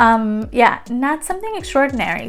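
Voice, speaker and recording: Noticeable background noise sits under the speech. The talking goes at a fairly quick pace. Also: woman. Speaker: beauty youtuber. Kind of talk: product review. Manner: fast; casual, many fillers.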